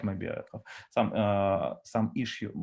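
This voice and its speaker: Over a quiet background, a man speaks with a Russian accent. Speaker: data architect. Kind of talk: conference talk with Q&A. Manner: halting, many fillers.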